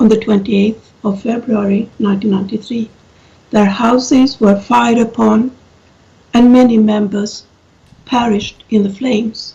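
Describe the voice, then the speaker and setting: A woman's fairly high, somewhat breathy voice, dark and mellow, with a non-native accent and monotone, flat intonation. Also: moderate pace. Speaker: professor. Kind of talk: conference talk. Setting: video call. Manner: halting.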